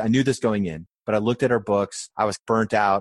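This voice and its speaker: In a dry, close recording with no echo and a quiet background, a man with an American accent speaks very fast at a fairly low pitch. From rural Maine, US. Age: 40s. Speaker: restaurant chain CEO. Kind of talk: interview conversation.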